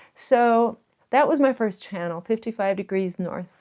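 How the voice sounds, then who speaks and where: A woman's dark, mellow voice at a fairly slow pace, a very clean recording with a silent background. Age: 60s. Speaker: YouTuber and volunteer firefighter. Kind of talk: casual vlog talk to camera. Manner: halting, with fillers.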